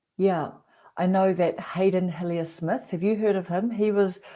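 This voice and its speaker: A woman speaks at a moderate pace in a dark, mellow tone. The recording is very clean, with a silent background. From New Zealand. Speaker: YouTube creator hosting a livestream. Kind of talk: casual chat.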